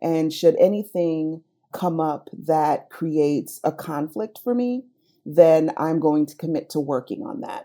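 A woman with a very deep, low pitch and a dark, mellow tone talks at a fairly slow pace, her lively intonation paired with big swings in loudness. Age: younger than 45. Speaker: social worker and asset manager. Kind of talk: interview storytelling.

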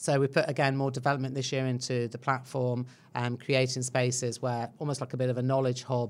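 A woman's very deep, low pitch at a moderate pace. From England. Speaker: tech industry executive. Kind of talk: interview.

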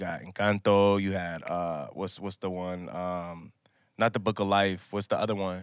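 With an American accent, a man speaks at a moderate pace in a very deep, low voice, using monotone, flat intonation with big swings in loudness, on a very clean recording with a silent background. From Minnesota, US. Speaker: musician. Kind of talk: casual chat.

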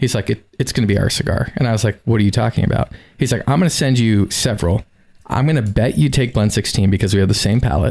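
This man talks at a very fast pace with a fairly low pitch, vocal fry, and an American accent. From South Florida. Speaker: cigar company representative and coffee hobbyist. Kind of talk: casual interview conversation. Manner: animated storytelling.

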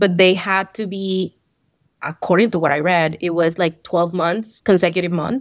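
A woman in a Spanish accent, in a very clean recording with a silent background. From Colombia. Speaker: accountant, CPA exam passer. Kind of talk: interview. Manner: hesitant, many fillers.

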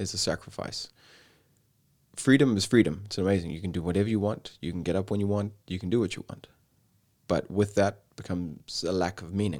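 A man's normal speaking voice, fairly low-pitched and fairly quick, with fairly even intonation. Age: 30s. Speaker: yoga teacher. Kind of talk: casual chat.

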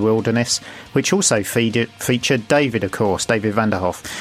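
Music in the background behind a man of medium pitch, with ordinary pitch variation at a moderate pace. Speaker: podcast producer. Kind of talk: recorded message. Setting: hotel room.

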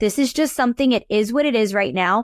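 With an American accent, a woman speaks in a dry, close sound with no echo, very cleanly recorded against a silent background. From US South, New Orleans, Louisiana. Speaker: accountant and tax coach. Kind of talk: casual interview chat.

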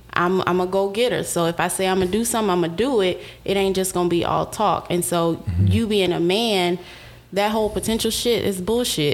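A woman with an American accent speaks at a fairly quick pace in a medium pitch, her intonation fairly even and her loudness very even, with music playing in the background. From Houston, Texas. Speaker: recruiter and cosmetics business owner. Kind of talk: casual chat.

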